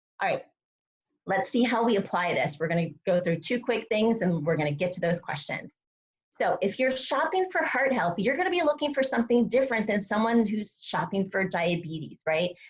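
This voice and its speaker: A woman speaks at a fairly quick pace in a somewhat breathy, medium-pitched voice with very wide pitch swings. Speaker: dietitian presenting a nutrition webinar. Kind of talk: live webinar presentation. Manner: fast; animated.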